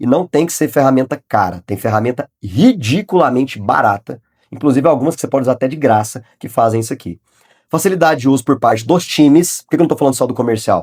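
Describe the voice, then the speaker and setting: The delivery is very fast, with lively intonation and big swings in loudness. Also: man, medium pitch for a man. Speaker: sales consultant and business YouTuber. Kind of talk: tutorial. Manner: casual.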